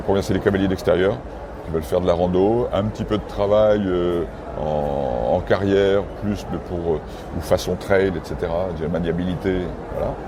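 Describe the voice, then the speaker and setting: Amid noticeable background noise and audible room echo, a man with a very deep, low voice talks at a moderate pace with ordinary pitch variation. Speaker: horse breeder. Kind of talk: interview. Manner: halting, many fillers.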